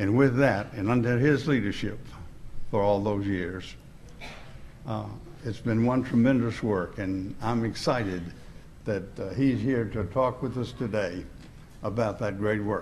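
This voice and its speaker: Over light background noise, a man speaks at a fairly slow pace with a fairly low pitch, ordinary pitch variation, and long, frequent pauses. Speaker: preacher. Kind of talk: speaker introduction. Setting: church. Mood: warm, respectful. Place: church. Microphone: podium.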